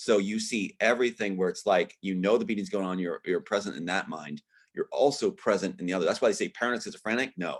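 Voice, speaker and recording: Against a quiet background, a man talks at a very fast pace with hardly any pauses. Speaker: interview guest, former performer and screenwriter. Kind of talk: interview. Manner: animated.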